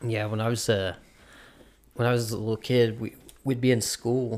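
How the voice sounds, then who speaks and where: This is a man speaking at a moderate pace. His pitch sits in the medium range. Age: 20s. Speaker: podcast host. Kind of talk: casual banter, comedy chat. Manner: joking, profane.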